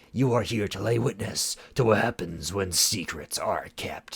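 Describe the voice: The clip is plain reading aloud, with ordinary pitch variation.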